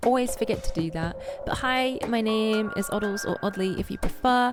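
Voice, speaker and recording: Music plays in the background as a woman speaks. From England, Birmingham. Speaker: streamer. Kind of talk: casual chat. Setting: live stream. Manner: animated.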